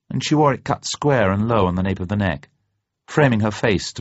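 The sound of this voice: Lively intonation marks an unforced reading voice. Nothing else can be heard behind it.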